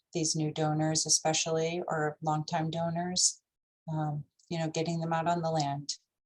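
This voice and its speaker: Somewhat breathy and monotone, this woman speaks at a very deep, low pitch with flat intonation. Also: moderate pace. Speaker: nonprofit fundraising director. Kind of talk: training presentation.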